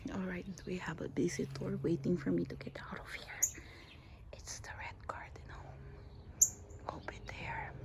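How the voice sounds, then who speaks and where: Whispering at a moderate pace, a woman leaves long, frequent pauses, her loudness swinging widely over noticeable background noise. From Philippines. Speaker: gardening vlogger. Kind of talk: casual garden tour. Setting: outdoors in backyard. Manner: hesitant, many fillers; quiet.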